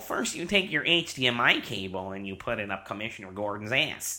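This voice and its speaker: Using a put-on character voice, a man speaks at a moderate pace and fairly low pitch with lively intonation. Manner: theatrical, menacing.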